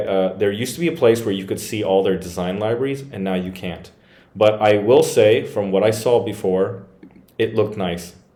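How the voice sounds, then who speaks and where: Audible room echo surrounds a man whose fairly low pitch and dark, mellow tone come at a moderate pace. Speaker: WordPress tech reviewer. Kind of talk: screen-share tutorial review. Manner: casual, hesitant with fillers.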